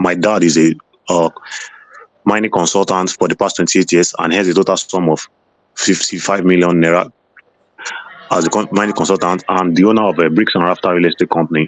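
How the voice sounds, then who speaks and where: This man's very deep, low voice holds a monotone, flat intonation and very even loudness at a fairly quick pace. Long, frequent pauses break up his speech, recorded with a dry, close sound and no echo. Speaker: student visa applicant. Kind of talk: mock visa interview answers. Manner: very fast.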